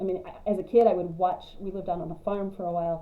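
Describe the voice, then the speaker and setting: In an American accent, someone speaks at a very fast pace with monotone, flat intonation, and audible room echo surrounds the voice. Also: woman. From West Texas (high plains). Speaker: cross-stitch vlogger. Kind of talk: casual vlog monologue.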